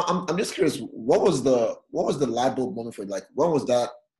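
This man speaks at a moderate pace and medium pitch, his tone dark and mellow, somewhat breathy, with lively intonation. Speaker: podcast host. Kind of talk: interview.

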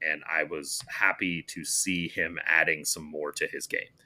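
A man's voice over music in the background. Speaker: soccer podcast host. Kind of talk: casual chat. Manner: talkative.

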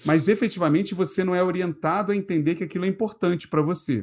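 Against a quiet background, a man talks at a moderate pace with a high pitch. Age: 30s. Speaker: product designer and design leader. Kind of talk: casual chat.

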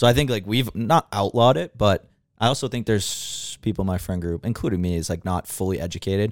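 Speech races along at a very fast clip with ordinary pitch movement. The sound is dry and close with no echo, and the recording is very clean over a silent background. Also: man, fairly low pitch for a man. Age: 20s. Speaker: podcast guest.

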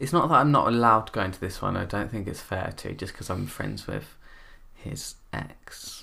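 A man with a fairly low pitch and vocal fry speaks at a moderate pace. His tone is bright and sharp, with lively intonation. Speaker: YouTuber. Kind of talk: casual chat. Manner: camp; animated.

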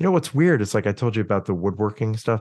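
Lively intonation comes through a dry, close sound with no echo and a quiet background. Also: man. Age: 50s. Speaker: orchestral cellist. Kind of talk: casual chat. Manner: animated.

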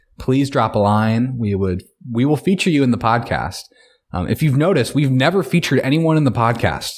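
A man with an unremarkable speaking voice talks at a fairly quick pace, his medium pitch carried by lively intonation and very even loudness. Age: 20s. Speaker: podcast co-host. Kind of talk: casual chat.

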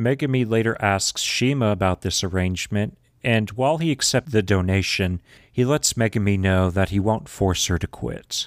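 A man's fairly low voice with ordinary pitch variation, dry and close with no echo, on a very clean recording with a silent background. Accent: Southern US. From Texas. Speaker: podcast host. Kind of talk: casual recap chat.

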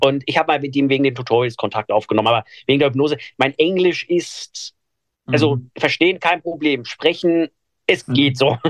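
A man talks at a fairly quick pace in a fairly high pitch with ordinary pitch variation. The sound is dry and close, with no echo. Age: 20s. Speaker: blind hypnotist and podcaster. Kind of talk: interview. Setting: radio interview.

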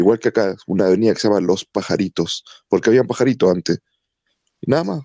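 The voice has a dark, mellow tone and moves at a fairly quick pace. The sound is dry and close, with no echo. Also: man. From Chile. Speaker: podcast co-host. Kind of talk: casual chat.

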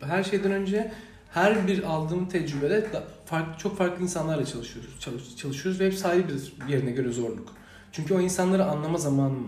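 A man with a high pitch speaks at a fairly quick pace with lively intonation. There is audible room echo and noticeable background noise. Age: 20s. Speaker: university student and youth organisation director. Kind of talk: podcast interview. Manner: hesitant, many fillers.

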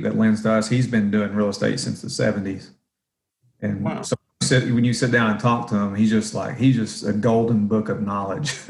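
A man with a Southern US accent speaks at a moderate pace in a fairly low pitch. His intonation stays fairly even while his loudness swings widely. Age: 40s. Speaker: real estate investor. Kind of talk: interview. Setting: job site. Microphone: echoey room.

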